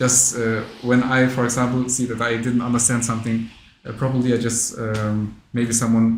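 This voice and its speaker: A man with a non-native accent speaks at a moderate pace in a medium pitch. An audible room echo surrounds his voice. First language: not English. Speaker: interviewer at Islamic education association. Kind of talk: interview. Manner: halting, many fillers.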